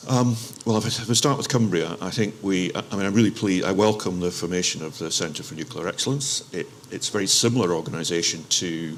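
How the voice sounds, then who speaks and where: Over noticeable background noise, a man talks at a very fast pace. His voice is fairly low, with an Aberdeen accent. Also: ordinary pitch variation. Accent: Aberdeen Scottish. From Scotland, Aberdeen. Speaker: local enterprise partnership representative. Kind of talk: panel discussion. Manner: hesitant, many fillers and restarts.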